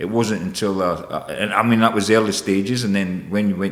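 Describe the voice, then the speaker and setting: This voice carries a Scottish accent. It moves along at a moderate pace. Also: man. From Scotland, Edinburgh area. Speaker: chef and business owner. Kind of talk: podcast interview. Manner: hesitant, many repetitions.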